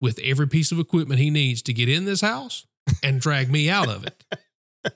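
Heard in a dry, close sound with no echo, a man with a Southern US accent talks at a moderate pace with ordinary pitch variation. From South Carolina. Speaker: police officer. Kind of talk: casual chat. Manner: halting.

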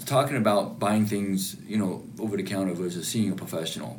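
There is noticeable background noise as a man with a fairly low pitch speaks at a moderate pace. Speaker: hearing specialist. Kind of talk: explanatory consultation. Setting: clinic.

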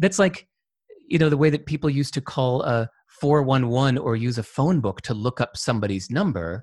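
A man talks in a plain, everyday voice at medium pitch, with lively intonation and a fairly quick pace. The sound is dry and close, with no echo. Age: 50s. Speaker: entrepreneur and author. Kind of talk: casual interview. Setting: video call.

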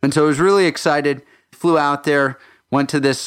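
Here a man is speaking at a moderate pace. His intonation stays fairly even. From Texas. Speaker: physician and podcast host. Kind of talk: monologue podcast intro. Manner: hesitant with repeated fillers.

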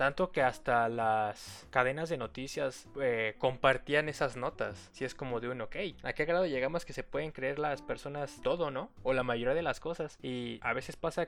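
Speaking at a moderate pace with hardly any pauses, this man has a fairly high-pitched voice. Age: 20s. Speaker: podcast host. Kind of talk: casual solo monologue.

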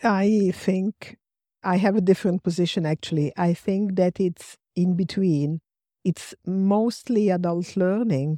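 A woman with an Italian accent speaks at a fairly slow pace in a dark, mellow tone. Her intonation is fairly even, and the sound is dry and close with no echo against a quiet background. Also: medium pitch for a woman. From Rome, Italy. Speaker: transactional analyst trainer. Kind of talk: panel discussion.

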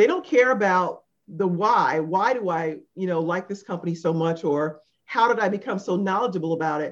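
A woman uses a plain, everyday voice, her medium pitch showing ordinary pitch variation as she talks at a moderate pace. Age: 50s. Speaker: podcast co-host. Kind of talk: casual chat.

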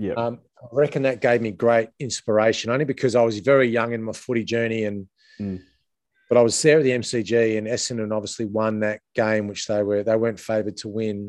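A man with an Australian accent speaks at a medium pitch. His pace is fairly quick and his intonation fairly even. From Adelaide, South Australia. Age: 40s. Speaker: former footballer and coach. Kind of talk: casual interview.

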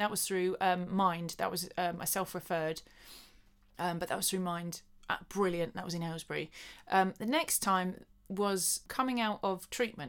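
A woman with a southern English accent speaks at a medium pitch on a very clean recording with a silent background. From Buckinghamshire, England. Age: 30s. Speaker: dancer and choreographer. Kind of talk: casual chat.

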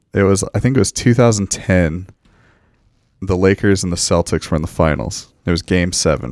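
A man speaks at a moderate pace in a very deep, low voice with vocal fry and ordinary pitch variation. The sound is dry and close, with no echo. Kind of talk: casual chat.

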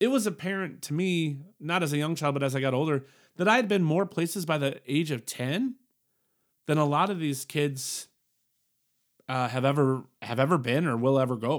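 An ordinary speaking voice, a man's fairly high pitch at a moderate pace with ordinary pitch variation, in a very clean recording with a silent background. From military family, moved around the world; born Colorado. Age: 40s. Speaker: podcast host. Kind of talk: casual monologue. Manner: casual with frequent fillers.

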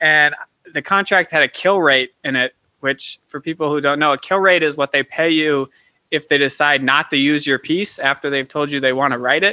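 A man with a fairly high pitch keeps his intonation fairly even at a moderate pace, using an ordinary speaking voice. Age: 20s. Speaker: author and filmmaker. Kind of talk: casual chat.

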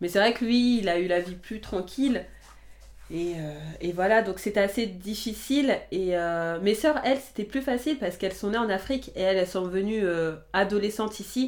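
A woman's medium-pitched voice at a moderate pace with ordinary pitch variation. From France, family of Guinean immigrants. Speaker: interviewee sharing her life story. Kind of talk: personal testimony interview. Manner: halting, with frequent repetitions.

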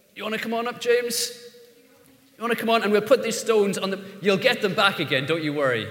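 Someone talks very fast in an Irish accent with lively intonation, amid noticeable background noise and audible room echo. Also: man, high pitch for a man. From Ireland. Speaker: pastor. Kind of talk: sermon. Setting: church. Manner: halting.

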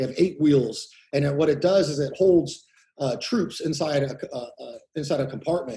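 Speaking with a Californian accent, a man has a fairly high, somewhat breathy voice with a dark, mellow tone, ordinary pitch variation and a moderate pace. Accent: Californian American. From California Central Valley. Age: 30s. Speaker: war veteran. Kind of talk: interview. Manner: halting.

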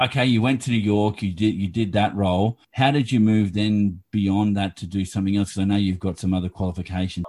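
At a very fast pace and with hardly any pauses, a man speaks in a fairly low pitch. His intonation is fairly even. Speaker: podcast host. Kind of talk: interview.

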